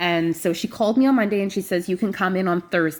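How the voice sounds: A woman talks fast at a medium pitch. Her pitch moves in an ordinary way.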